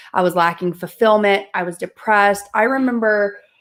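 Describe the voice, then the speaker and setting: A woman speaks in a Southern US accent at a moderate pace. Her medium-pitched voice keeps a fairly even intonation. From US South. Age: 20s. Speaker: mindset and manifestation coach. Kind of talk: interview testimony.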